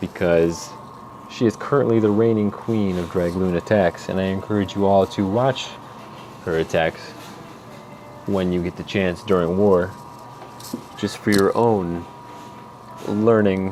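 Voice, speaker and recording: Noticeable background noise accompanies a man with an American accent who speaks fairly slowly in a fairly low voice, with fairly even intonation and long, frequent pauses. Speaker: gaming tutorial maker. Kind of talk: tutorial. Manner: halting, many fillers.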